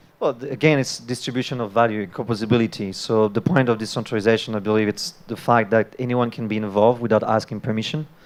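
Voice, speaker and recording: A man with a French accent talks at a very fast pace with hardly any pauses. His medium pitch stays fairly even. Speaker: debater, crypto investor. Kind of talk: live panel debate.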